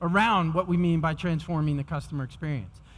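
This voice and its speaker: In a very clean recording with a silent background, a man with a New York accent talks at a fairly quick pace in a fairly high voice. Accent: New York American. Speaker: technology executive speaking at a conference. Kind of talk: conference keynote presentation. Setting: stage with audience. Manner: fast.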